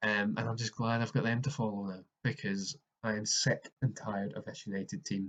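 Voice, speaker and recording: In a Scottish accent, a man talks at a fairly quick pace. His pitch sits in the medium range. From Scotland. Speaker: football podcaster. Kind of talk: casual solo commentary. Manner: halting with fillers.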